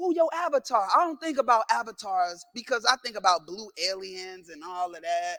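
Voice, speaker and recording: Raised and projected, a man's high-pitched voice sounds bright, sharp and animated, with very wide pitch swings, big swings in loudness, hardly any pauses and a dry, close sound with no echo. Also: moderate pace. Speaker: keynote speaker, content creator. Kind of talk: motivational keynote speech. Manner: animated, call-and-response.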